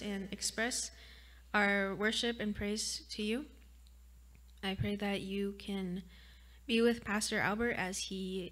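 A woman's monotone, flat intonation at a very slow pace. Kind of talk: spoken prayer. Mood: calm, gentle, reverent. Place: church. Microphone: studio mic.

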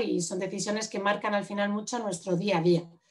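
A woman's medium-pitched, ordinary speaking voice, with fairly even intonation over a quiet background. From Madrid, Spain; Spain. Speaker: urban planner and architect; presenter. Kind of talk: lecture. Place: home room. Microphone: video call.

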